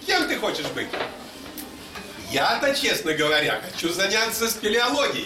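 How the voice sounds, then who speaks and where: A man's high voice with very wide pitch swings, a fairly slow pace, and long, frequent pauses amid noticeable background noise. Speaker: literary reader and musician. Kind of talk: short story reading aloud. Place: hall. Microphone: camera far.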